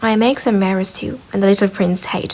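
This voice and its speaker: A woman talks with fairly even intonation at a medium pitch. Hers is an unremarkable speaking voice. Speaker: ASMR reader of a book, sleep aid. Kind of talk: soft ASMR-style audiobook reading for sleep.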